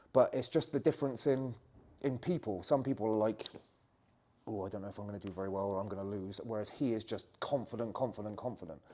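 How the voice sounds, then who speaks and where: With a West Country accent and a dark, mellow tone, the speaker talks at a very fast pace, with big swings in loudness and ordinary pitch variation. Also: man, fairly low pitch for a man. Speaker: jiu-jitsu coach. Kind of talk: interview answer.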